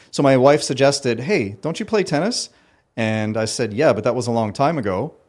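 An unremarkable speaking voice moves at a fairly quick pace with lively intonation on a very clean recording with a silent background. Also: man, medium pitch for a man. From Ottawa, Canada. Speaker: sports company founder. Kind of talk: casual interview chat.

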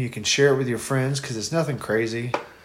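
Over noticeable background noise, a man talks in a medium pitch with a monotone, flat intonation. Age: 30s. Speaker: podcast co-host. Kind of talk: casual chat while drinking beer.

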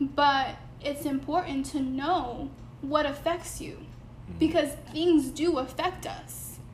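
A woman in an American accent at a very slow pace, with big swings in loudness and audible room echo. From Connecticut, Bridgeport. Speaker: podcast co-host. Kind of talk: casual chat.

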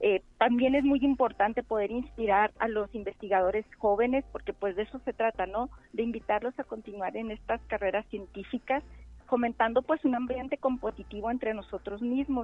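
A woman with a normal speaking voice and a fairly high pitch speaks at a moderate pace with ordinary pitch variation. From Mexico, Chihuahua. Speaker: researcher and nursing lecturer. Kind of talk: interview. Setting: phone call. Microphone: telephone line.

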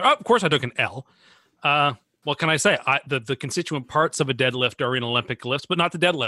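A man talks at a very fast pace in a bright, sharp tone with ordinary pitch variation. The sound is dry and close with no echo, over a quiet background. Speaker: sports podcast co-host. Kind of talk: casual banter, debate. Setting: remote call. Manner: excitable.

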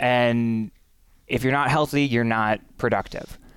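Over a silent background on a very clean recording, a man with a plain, everyday voice speaks at a fairly slow pace, medium in pitch and fairly even in intonation. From Western Wisconsin, Menominee. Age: young. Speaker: congressional candidate. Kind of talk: interview.

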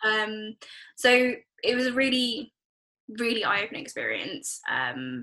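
A British accent broken by long, frequent pauses. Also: woman, moderate pace. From England, Nepali family. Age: 20s. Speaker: NHS project manager. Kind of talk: casual chat.

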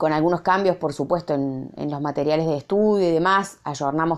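Against a quiet background, a woman with a fairly low pitch and ordinary pitch variation speaks at a moderate pace. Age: 40s. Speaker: university lecturer. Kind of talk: recorded reflection monologue. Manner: halting, many fillers and repetitions.

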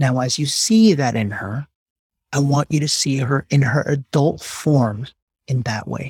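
A man talks fairly slowly in a fairly high, somewhat breathy voice. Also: ordinary pitch variation. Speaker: coach leading a healing session. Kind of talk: guided meditation. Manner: slow, soothing; gentle, deliberate.

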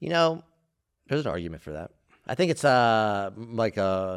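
The man speaking uses very wide pitch swings. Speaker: comedy podcast co-host. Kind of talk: casual comedic banter.

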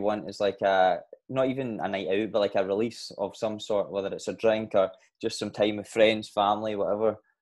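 This is a plain, everyday voice at a fairly quick pace. The intonation stays fairly even. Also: man. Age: 20s. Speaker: podcast host and personal trainer. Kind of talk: casual interview chat.

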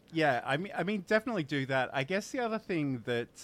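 Very wide pitch swings in an Australian accent. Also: man. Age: 40s. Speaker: livestreaming show host. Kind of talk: casual chat. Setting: live stream.

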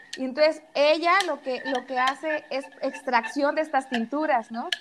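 The speaker is a woman with an even, middling pace. Her pitch rises and falls in a normal way. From Mexico, rural Jalisco town. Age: 30s. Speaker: entrepreneur selling native corn products. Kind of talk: casual interview. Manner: halting, many repetitions.

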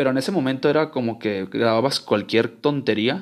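Speech comes rather briskly, its pitch rising and falling in a normal way. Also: man. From Guadalajara, Mexico. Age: 20s. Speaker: podcaster. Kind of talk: casual monologue. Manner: informal, slangy; halting, repeats words.

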